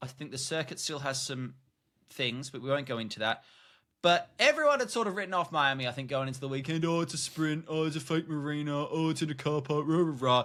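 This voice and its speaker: A man talks at a very fast pace in a bright, sharp, fairly high voice. The recording is very clean, with a silent background. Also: ordinary pitch variation. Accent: Australian. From Australia. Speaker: podcast co-host. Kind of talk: casual chat.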